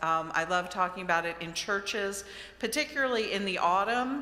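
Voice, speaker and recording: Recorded with audible room echo and noticeable background noise, a woman talks in an American accent. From Maryland, US. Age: 60s. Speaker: author and lecturer. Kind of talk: lecture. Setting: church with audience.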